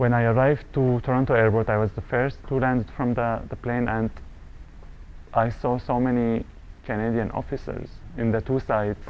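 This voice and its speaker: A man talks at a moderate pace in a medium pitch with an Arabic accent. His intonation stays monotone and flat. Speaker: refugee business owner. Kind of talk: interview testimony.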